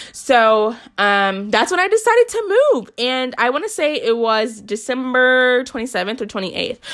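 Her pitch high and her intonation lively, a woman speaks at a moderate pace with hardly any pauses on a very clean recording with a silent background. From US South, Newport News, Virginia. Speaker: faith podcast host. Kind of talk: personal testimony.

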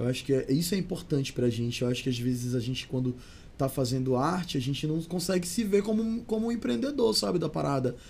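Fairly high for a man, his voice is somewhat breathy. He talks very fast, with very wide pitch swings. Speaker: singer and actor. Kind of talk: casual chat. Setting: studio.

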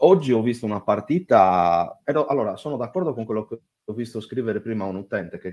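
The man talks at a very fast pace. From Sardinia, Italy. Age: 30s. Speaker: caller. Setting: voice chat online.

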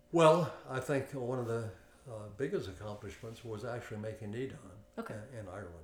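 Against noticeable background noise, a man with an American accent talks fairly quickly at a medium pitch, with ordinary pitch variation and big swings in loudness. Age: 70s. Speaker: martial arts instructor. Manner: repeats 'okay' often, relaxed.

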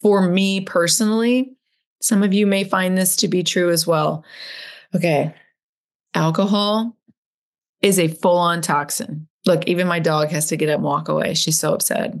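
The speaker goes at a moderate pace, with long, frequent pauses and ordinary pitch variation. The background is quiet. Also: woman. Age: 50s. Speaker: podcast host. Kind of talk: solo podcast monologue with personal reflections. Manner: loud, animated performer type.

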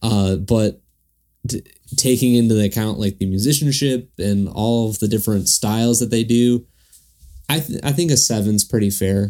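Music plays in the background as a man speaks at a moderate pace with a medium pitch and ordinary pitch variation. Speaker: podcast host. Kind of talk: casual chat. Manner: joking, playful.

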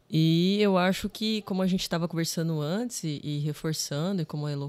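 At a moderate pace, a woman with an unremarkable speaking voice talks in a fairly low pitch with ordinary pitch variation, on a very clean recording with a silent background. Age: 30s. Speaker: filmmaker. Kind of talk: podcast interview.

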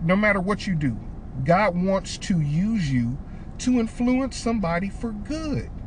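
Noticeable background noise sits behind a man with an American accent. His high voice moves at a fairly slow pace with very wide pitch swings. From Detroit, Michigan. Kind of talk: casual faith-teaching chat.

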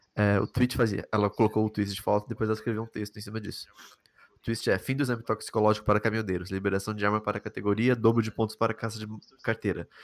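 The recording is very clean with a silent background as a man talks very fast in a fairly low voice. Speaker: podcast host. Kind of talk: casual interview chat.

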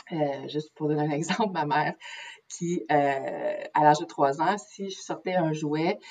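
With noticeable background noise behind her, a woman speaks at a very deep, low pitch. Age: 30s. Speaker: naturopath. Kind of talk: interview. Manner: halting.

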